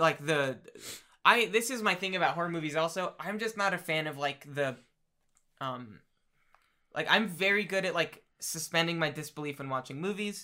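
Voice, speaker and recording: Speaking at a moderate pace with long, frequent pauses, a man with an American accent uses a bright, sharp tone, high pitch and ordinary pitch variation, captured in a very clean recording with a silent background. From New Jersey, Trenton. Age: 20s. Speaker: podcast co-host. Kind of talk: casual chat.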